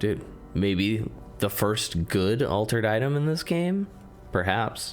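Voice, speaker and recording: A man with lively intonation, music playing in the background. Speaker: video game critic. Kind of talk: video essay narration.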